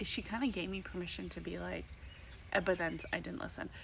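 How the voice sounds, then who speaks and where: Audible room echo around a woman's fairly quick speech. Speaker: vlogger and network marketer. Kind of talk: casual vlog monologue. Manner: chatty, fast, filler-heavy.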